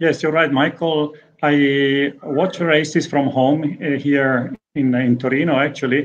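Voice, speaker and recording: Light background noise accompanies a man with an Italian accent. He speaks at a fairly slow pace with a fairly high pitch. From Italy. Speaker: racing team sporting director. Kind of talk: interview. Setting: remote video call. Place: home room. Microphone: video call.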